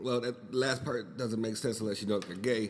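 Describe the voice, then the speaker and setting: A man speaks at a medium pitch, with audible room echo around his voice. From US, raised in a Puerto Rican family. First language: Spanish. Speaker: podcast host. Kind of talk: casual monologue. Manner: rambling, conversational with fillers.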